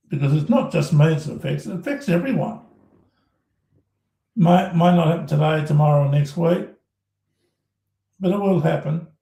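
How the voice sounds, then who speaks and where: Using an Australian accent, a man with a high pitch and a dark, mellow tone speaks with lively intonation and long, frequent pauses. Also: moderate pace. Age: 60s. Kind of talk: live stream rant. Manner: animated, repetitive stammering.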